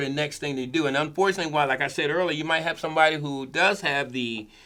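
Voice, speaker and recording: Fairly quick pace from a man with a fairly high pitch and ordinary pitch variation. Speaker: podcast co-host. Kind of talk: casual discussion. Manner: fast.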